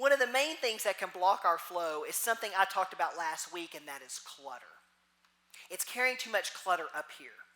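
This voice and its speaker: In a Texas accent, the speaker moves at a fairly quick pace with very wide pitch swings. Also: woman, medium pitch for a woman, big swings in loudness. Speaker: minister. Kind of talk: sermon.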